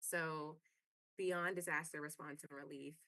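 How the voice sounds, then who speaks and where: This woman speaks in a very deep, low voice with a bright, sharp tone. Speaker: panelist from advocacy network. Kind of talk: webinar presentation. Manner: fast; filler-heavy, many ums and you knows.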